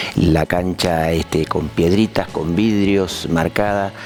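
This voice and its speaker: With music in the background, a man is speaking. His pace is fairly slow and his pitch variation ordinary. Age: 60s. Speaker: softball player and coach. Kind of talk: interview. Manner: halting, many fillers and repetitions.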